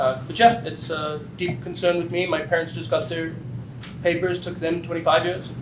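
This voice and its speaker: Audible room echo and noticeable background noise around a voice at a moderate pace with ordinary pitch variation. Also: man, high pitch for a man. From South Africa. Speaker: state legislator. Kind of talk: panel introduction at a public listening session.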